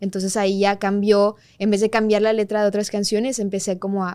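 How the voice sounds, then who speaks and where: A woman speaks at a moderate pace in a medium pitch, her tone dark and mellow and her intonation monotone and flat. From Mexico, Monterrey (Colombian family). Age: 20s. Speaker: singer-songwriter. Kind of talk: interview chat.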